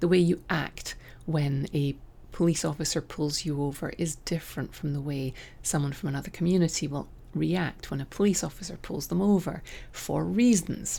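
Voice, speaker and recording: Speaking with a Scottish accent, a woman with a very deep, low pitch and a dark, mellow tone keeps a moderate pace and ordinary pitch variation. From Scotland; raised in southern England. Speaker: podcast host, writing coach. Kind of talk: opinion monologue. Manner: animated.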